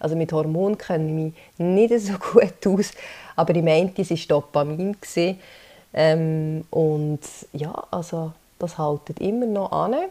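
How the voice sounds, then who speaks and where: Speaking in a Swiss accent at a fairly slow pace, a woman with a fairly low voice and ordinary pitch variation leaves long, frequent pauses. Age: 30s. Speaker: podcast host, social insurance educator. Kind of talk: solo explainer podcast. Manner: hesitant, many fillers.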